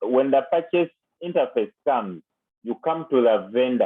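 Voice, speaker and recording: Pitched fairly high, a man speaks at a moderate pace with ordinary pitch variation. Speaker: accounting software tutor. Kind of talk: tutorial. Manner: loud.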